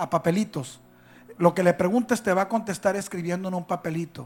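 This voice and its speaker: This man talks at a fairly quick pace. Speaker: pastor. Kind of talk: sermon. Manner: animated.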